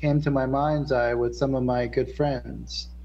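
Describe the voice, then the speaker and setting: Here a man talks at a moderate pace. He has an American accent. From central New Jersey. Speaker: spiritual musician guest; guest. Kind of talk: casual interview. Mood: reflective, enthusiastic. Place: studio. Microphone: studio mic.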